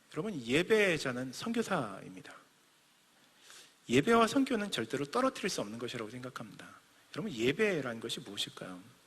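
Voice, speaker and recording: A man talks at a fairly quick pace with very wide pitch swings, breaking often into long pauses. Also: fairly high pitch for a man. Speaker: missionary preacher. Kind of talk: sermon. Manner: fast.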